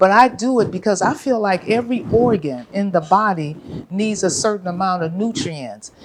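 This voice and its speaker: Noticeable background noise behind a woman's American-accented speech with ordinary pitch variation. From California, US. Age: 70s. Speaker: vegan chef and restaurant owner. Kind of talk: interview.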